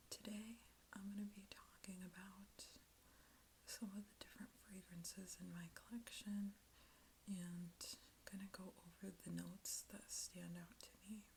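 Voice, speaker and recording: The speaker is soft-spoken and moves at a fairly slow pace. Long, frequent pauses break up the speech. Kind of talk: ASMR product talk.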